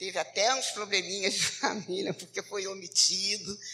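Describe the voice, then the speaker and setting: Music plays in the background. A woman talks at a medium pitch. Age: 60s. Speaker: social worker. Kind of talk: testimony. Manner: halting.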